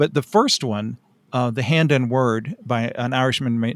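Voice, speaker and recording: The recording is very clean, with a silent background and a dry, close sound with no echo. A man speaks at a fairly slow pace, his medium pitch showing ordinary variation. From rural Tennessee, US South. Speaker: writer and anthology editor. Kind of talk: casual interview.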